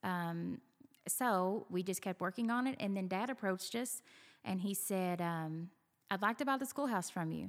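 With a Southern US accent, a woman speaks with ordinary pitch variation on a very clean recording with a silent background. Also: medium pitch for a woman, moderate pace. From Kentucky. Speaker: venue owner. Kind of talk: casual interview. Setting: on location at venue.

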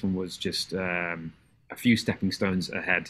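A man with an English accent has a bright, sharp tone. The recording is very clean, with a silent background. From England. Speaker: middle school music teacher. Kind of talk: casual chat.

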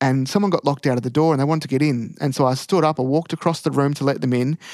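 In an Australian accent, a man talks at a fairly high pitch with fairly even intonation, recorded dry and close with no echo. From Australia, country Victoria. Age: 20s. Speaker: first-year officer cadet. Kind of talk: casual interview. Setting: prayer room at a training college.

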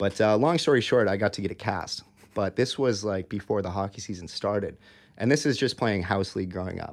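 A fairly quick pace in an American accent. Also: man, fairly low pitch for a man, ordinary pitch variation. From Minnesota, US Midwest (Eagan). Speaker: youth hockey coach and former college player. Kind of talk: casual interview chat. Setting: studio. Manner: halting, many fillers.

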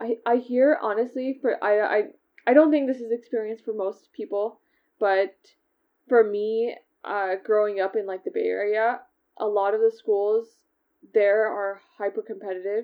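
A woman with an American accent speaks in an ordinary speaking voice at a moderate pace, her fairly high pitch held in fairly even intonation. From US West Coast (California, Seattle). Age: 20s. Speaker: tech product manager. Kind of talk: interview.

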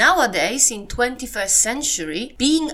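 A bright, sharp tone with very wide pitch swings at a fairly slow pace. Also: woman. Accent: Polish. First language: Polish. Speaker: podcast presenter. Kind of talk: scripted-style podcast narration on history and culture.

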